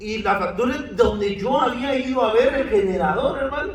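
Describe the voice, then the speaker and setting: With a Guatemalan accent, a man speaks at a moderate pace and an extremely high pitch, with audible room echo and noticeable background noise. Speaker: pastor. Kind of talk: sermon.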